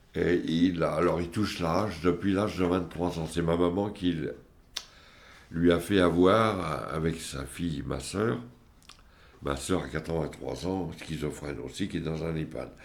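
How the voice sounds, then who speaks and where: Audible room echo surrounds a man with a very deep, low voice who speaks at a fairly slow pace. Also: ordinary pitch variation. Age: 70s. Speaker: family member of psychiatric patients. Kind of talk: testimony. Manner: halting.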